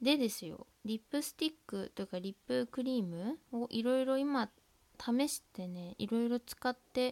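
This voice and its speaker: The woman's voice sits high in pitch. Her sound is dry and close, without echo. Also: ordinary pitch variation, moderate pace. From Tohoku, Japan. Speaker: student podcaster. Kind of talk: casual monologue. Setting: at home, window open.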